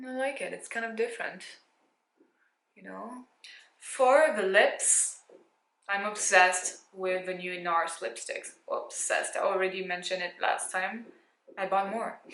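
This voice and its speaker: With audible room echo, the speech has long, frequent pauses and big swings in loudness. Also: woman, fairly slow pace. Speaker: beauty youtuber. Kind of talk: makeup tutorial. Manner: casual.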